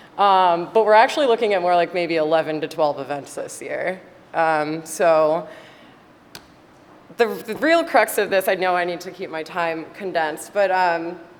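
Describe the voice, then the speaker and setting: In a room with audible echo, a woman talks at a moderate pace with a fairly low pitch and ordinary pitch variation. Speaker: alumni committee chair. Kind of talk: conference presentation. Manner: loud; casual, chatty.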